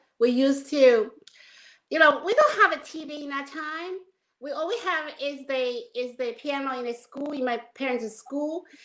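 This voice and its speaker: Speaking at a moderate pace, a woman with a Chinese accent uses a high pitch with ordinary pitch variation. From China. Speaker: film and musical producer. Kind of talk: interview.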